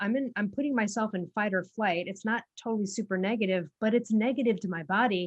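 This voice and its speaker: Speaking at a very fast pace with hardly any pauses, a woman has a medium-pitched, somewhat breathy voice and ordinary pitch variation. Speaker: podcast host. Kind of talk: podcast interview chat.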